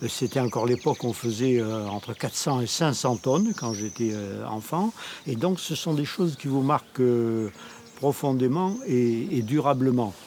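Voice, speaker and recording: Over noticeable background noise, a medium-pitched man speaks fairly slowly with ordinary pitch variation. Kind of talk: interview. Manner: halting.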